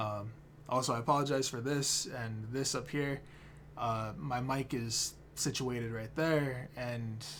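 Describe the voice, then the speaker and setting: A man speaks at a medium pitch with fairly even intonation, and the room echo is audible. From Standing Rock reservation, North/South Dakota. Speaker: keynote speaker, photographer and anthropologist. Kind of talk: recorded keynote speech. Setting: self-recorded video at home. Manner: casual, hesitant with fillers.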